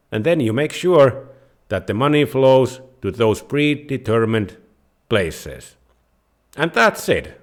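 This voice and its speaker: A man with a Finnish accent speaks at medium pitch and a fairly slow pace, with lively intonation and long, frequent pauses. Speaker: personal finance YouTuber. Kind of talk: tutorial.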